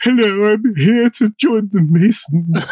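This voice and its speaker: Putting on a character voice, a man speaks high-pitched at a fairly slow pace. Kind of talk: affected, high-class.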